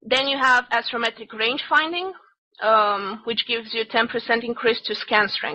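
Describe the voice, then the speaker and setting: Speaking with a non-native accent, a woman with a fairly high pitch and ordinary pitch variation keeps a moderate pace. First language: not English. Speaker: game class instructor. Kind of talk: online class lecture. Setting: voice chat server. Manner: halting, many fillers.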